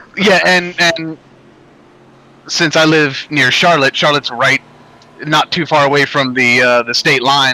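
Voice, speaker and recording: Over noticeable background noise, a man with a fairly high voice speaks at a fairly slow pace with fairly even intonation and long, frequent pauses. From North Carolina, US. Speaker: sim racing streamer. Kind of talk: casual chat during sim race stream. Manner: hesitant with many fillers.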